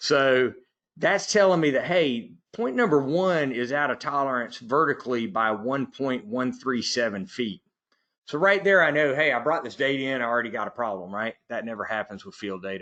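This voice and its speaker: With a Southern US accent, a man talks at a moderate pace in a medium pitch, his tone bright and sharp and his intonation lively. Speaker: software trainer. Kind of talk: webinar tutorial. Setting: online webinar.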